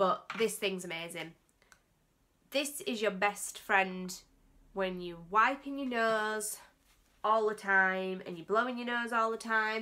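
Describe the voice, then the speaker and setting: A woman with an English accent speaks in a fairly high pitch at a very slow pace. She leaves long, frequent pauses, and her loudness swings widely. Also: ordinary pitch variation. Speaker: beauty vlogger. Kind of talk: casual vlog tutorial. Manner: halting, stumbling over words.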